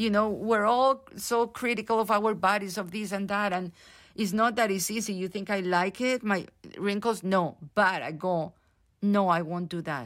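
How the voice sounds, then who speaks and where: A medium-pitched woman with a Spanish accent at a moderate pace, ordinary pitch variation, on a very clean recording with a silent background. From Colombia. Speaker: theatre director. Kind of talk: interview. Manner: halting.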